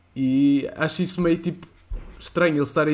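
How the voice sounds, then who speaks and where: The voice belongs to a man and sits fairly high in pitch. Its intonation is fairly even. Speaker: podcast co-host. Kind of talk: casual chat.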